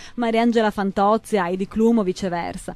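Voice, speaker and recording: This woman talks at a fairly quick pace with medium pitch and ordinary pitch variation. The sound is dry, with no echo. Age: 30s. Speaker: image consultant; interview guest. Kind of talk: radio interview. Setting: radio studio. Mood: warm, chatty. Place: studio. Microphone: studio mic.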